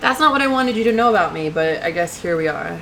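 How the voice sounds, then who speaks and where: With an American accent, a woman sounds energetic and uses lively intonation amid noticeable background noise. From New York. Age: 20s. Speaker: YouTuber and grad student. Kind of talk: casual vlog introduction. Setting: home webcam recording. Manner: energetic, chatty.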